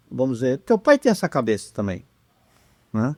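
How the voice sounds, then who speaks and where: This man's fairly high-pitched voice moves in very wide pitch swings at a moderate pace, with a dry, close sound and no echo. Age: 70s. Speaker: mental coach. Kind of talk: podcast interview, casual chat.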